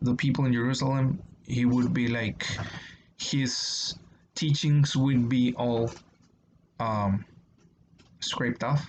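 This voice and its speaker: Very slow, somewhat breathy speech from a man with a Spanish accent, medium pitch and fairly even intonation. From Mexico. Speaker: YouTuber discussing religion. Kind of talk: casual explanatory monologue. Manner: halting, many fillers.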